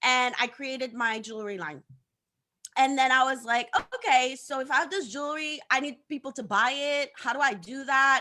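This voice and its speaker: A woman with a Haitian accent talks in a raised, projected voice, high-pitched with a bright, sharp tone and ordinary pitch variation. Her pace is moderate, and her loudness swings widely. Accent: Haitian Caribbean English. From Haiti, partly raised in Africa. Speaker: social media coach. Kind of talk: interview on live show. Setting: live stream. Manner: animated, many repeated words.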